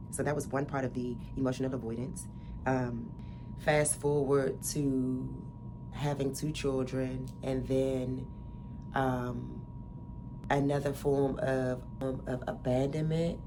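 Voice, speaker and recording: A woman's very slow speech with audible room echo. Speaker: wellness podcaster. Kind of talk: personal testimony. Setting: home recording. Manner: casual, halting with fillers.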